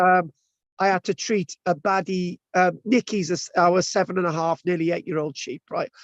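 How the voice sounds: With a dry, close sound and no echo, a man speaks at a moderate pace and a high pitch.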